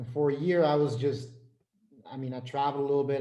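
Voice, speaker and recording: A man with an American accent speaks at a fairly quick pace in a fairly high pitch, his intonation fairly even, with audible room echo. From Flanders, Belgium. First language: Dutch. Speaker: business and life coach. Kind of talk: interview.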